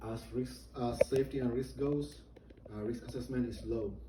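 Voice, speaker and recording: Someone with a non-native accent speaks with audible room echo. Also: man. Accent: noticeable non-native. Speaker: soldier giving a briefing. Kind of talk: military training briefing. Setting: virtual, indoor.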